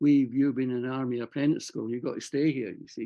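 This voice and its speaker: In a Scottish accent, a man talks at a very fast pace. His medium-pitched voice has monotone, flat intonation. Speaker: war veteran. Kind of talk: interview. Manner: halting.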